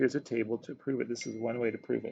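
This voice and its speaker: A man's medium-pitched voice with vocal fry, fairly even intonation and a fairly quick pace. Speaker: math teacher. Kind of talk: video lesson.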